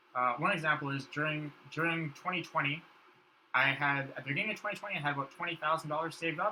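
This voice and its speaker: With noticeable background noise behind him, a man speaks at a very fast pace in a fairly high pitch with ordinary pitch variation. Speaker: podcast guest. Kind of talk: casual chat.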